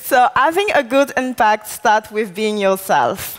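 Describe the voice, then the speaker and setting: Over music in the background, a woman speaks in a fairly high pitch with a French accent. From Ivory Coast. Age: 20s. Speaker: artist and activist. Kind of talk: keynote speech. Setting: conference stage with audience.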